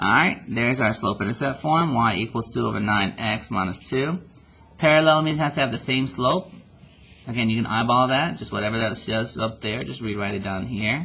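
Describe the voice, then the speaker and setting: This man speaks at a fairly quick pace in a medium pitch. His tone is bright and sharp, with lively intonation. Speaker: math teacher. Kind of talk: tutorial. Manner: fast.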